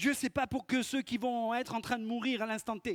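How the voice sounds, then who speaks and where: A man speaks at a moderate speed. The recording sounds dry and close, with no echo at all. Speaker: pastor. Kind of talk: sermon. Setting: church.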